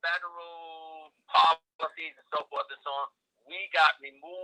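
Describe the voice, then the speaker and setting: The sound is dry and close, with no echo. A man speaks with a New York accent. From New York City, South Bronx. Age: 80s+. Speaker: nutrition and agriculture advocate. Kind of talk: interview.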